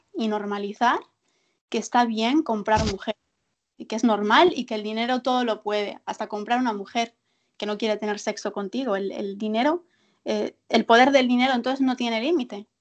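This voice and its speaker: Speaking at a moderate pace, a woman has a fairly high pitch. Her pitch variation is ordinary. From Galicia, Spain. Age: 20s. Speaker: social worker. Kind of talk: casual interview chat.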